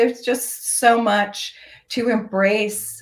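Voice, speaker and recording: This is a woman speaking. Her pace is very slow. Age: 60s. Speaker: fashion entrepreneur. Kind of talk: interview. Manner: hesitant, many fillers.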